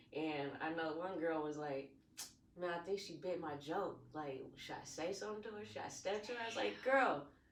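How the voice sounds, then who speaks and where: A woman at a fairly low pitch and a moderate pace with lively intonation, amid audible room echo and noticeable background noise. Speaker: comedian. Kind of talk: casual chat. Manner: laid back.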